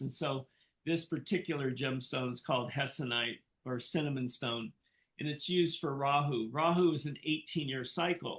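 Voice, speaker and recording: His is a plain, everyday voice. The man's fairly high pitch moves with ordinary pitch variation. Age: 60s. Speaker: Vedic astrologer and psychologist. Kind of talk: interview. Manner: conversational, with frequent fillers.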